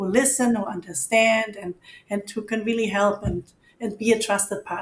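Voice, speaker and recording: A woman with a German accent speaks at a moderate pace, somewhat breathy. Her intonation is monotone and flat. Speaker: financial advisor. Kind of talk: interview.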